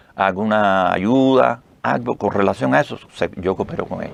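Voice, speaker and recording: With a Cuban accent, a man of fairly low pitch talks at a moderate pace using lively intonation. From Cuba, Pinar del Río. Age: 70s. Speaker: retired army officer, heart transplant association president. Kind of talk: interview. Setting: radio studio. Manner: halting.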